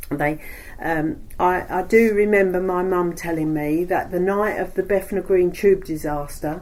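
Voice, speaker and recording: A woman with a Cockney accent, medium pitch, fairly even intonation and a fairly slow pace. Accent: East London Cockney. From East End of London. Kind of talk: oral history interview answer. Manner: chatty.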